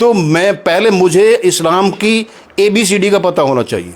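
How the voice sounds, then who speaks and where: Noticeable background noise under a man speaking with ordinary pitch variation. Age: 70s. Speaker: local historian. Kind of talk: interview.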